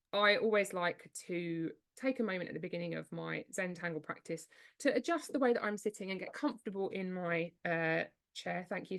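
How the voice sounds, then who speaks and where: Vocal fry with ordinary pitch variation. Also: woman. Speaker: art teacher. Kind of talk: live online art lesson. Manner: halting, many fillers.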